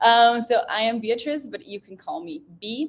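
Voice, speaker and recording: This woman has a fairly high voice and a Portuguese accent. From Brazil. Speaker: panel moderator. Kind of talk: panel discussion moderation.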